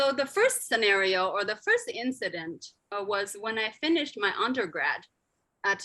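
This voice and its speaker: Lively intonation marks this woman's fairly high voice in a Sichuan accent, on a very clean recording with a silent background. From Tibetan community in China. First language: rGyalrong Khroskyabs. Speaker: linguist and endangered language advocate. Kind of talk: conference lecture.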